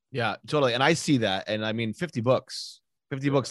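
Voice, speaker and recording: A normal speaking voice from a man, medium in pitch, with ordinary pitch variation, a fairly quick pace and a quiet background. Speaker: podcast host. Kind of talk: interview.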